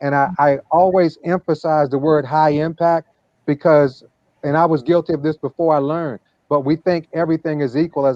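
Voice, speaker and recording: An ordinary speaking voice from a man, fairly high-pitched, with fairly even intonation and a fairly quick pace. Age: 50s. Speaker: wellness product promoter. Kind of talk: interview talk. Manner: repetitive, with frequent fillers.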